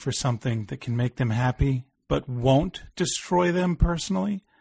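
Against a quiet background, a man speaks at a moderate pace with a somewhat breathy voice and very wide pitch swings. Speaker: podcast host and film reviewer. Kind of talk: casual chat.

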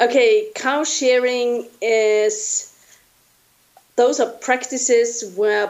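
A woman's fairly high-pitched voice with a German accent. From Austria. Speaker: researcher. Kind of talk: interview.

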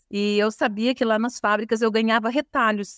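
A woman with a plain, everyday voice speaks at a moderate pace in a fairly high pitch, with ordinary pitch variation. The sound is dry and close, with no echo. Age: 50s. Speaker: fashion designer and business owner. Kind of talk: interview.

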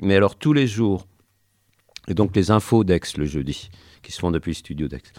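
A man's very deep, low voice, dark and mellow in tone, with ordinary pitch variation at a moderate pace on a very clean recording with a silent background. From Champagne, France. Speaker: community radio presenter. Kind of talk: interview. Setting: radio studio. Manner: halting.

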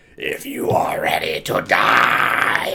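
An extremely high-pitched, raspy put-on character voice from a man. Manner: loud, menacing.

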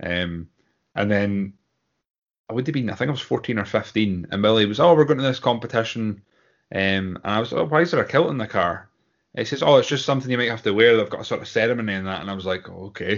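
Talking very fast, a man with a Scottish accent speaks at a medium pitch. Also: ordinary pitch variation. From Scotland. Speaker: Highland Games athlete. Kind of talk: casual interview chat.

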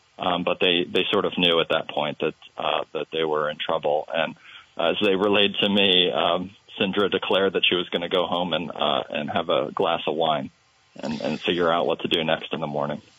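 Noticeable background noise sits behind a man with a very deep, low pitch. He keeps a moderate pace and fairly even intonation. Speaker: newspaper reporter. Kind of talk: interview describing a story. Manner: hesitant with many fillers.

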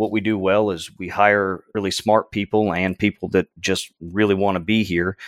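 In an American accent, a man speaks at a fairly low pitch in a monotone, flat way with hardly any pauses. The recording is very clean and dry, close with no echo, over a silent background. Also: moderate pace. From Texas (Houston from age five). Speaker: oilfield services business development manager, Marine veteran. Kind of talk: interview.

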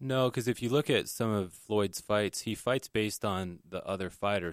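This is a man with a plain, everyday voice and a fairly low pitch. He speaks at a moderate pace on a very clean recording with a silent background. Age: 40s. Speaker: boxing gym owner. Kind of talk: interview.

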